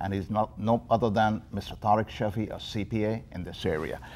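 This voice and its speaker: This man has a normal speaking voice. His pitch is fairly low, with ordinary variation. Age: 60s. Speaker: TV talk show host. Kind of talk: interview. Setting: TV studio.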